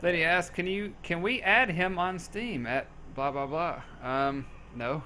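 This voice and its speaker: Here a man speaks high-pitched and fairly slowly. His intonation is lively and his tone bright and sharp. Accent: American. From US South, Memphis, Tennessee. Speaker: gaming community staff member. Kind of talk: casual Q&A chat.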